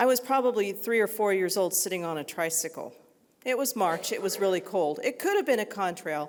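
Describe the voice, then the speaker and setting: A woman's plain, everyday voice, medium in pitch, at a fairly quick pace. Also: lively intonation. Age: 60s. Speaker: nurse. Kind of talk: unscripted talk to an audience.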